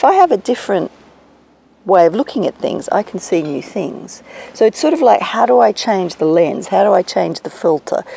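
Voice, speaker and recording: Someone with an Australian accent speaks at a moderate pace with very wide pitch swings, in a dry, close sound with no echo and noticeable background noise. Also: woman, medium pitch for a woman. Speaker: executive coach. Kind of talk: interview.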